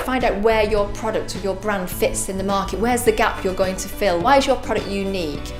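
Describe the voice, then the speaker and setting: Music in the background under a woman's fairly quick speech. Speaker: TV presenter. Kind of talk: presenter talk to camera.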